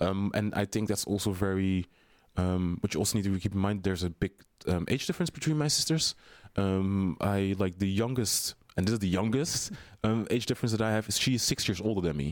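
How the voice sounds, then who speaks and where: Talking at a fairly quick pace, a man with a Dutch accent keeps a fairly low pitch and very even loudness. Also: ordinary pitch variation. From Netherlands. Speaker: drag queen performer. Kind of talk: casual interview chat. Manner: filler-heavy, chatty.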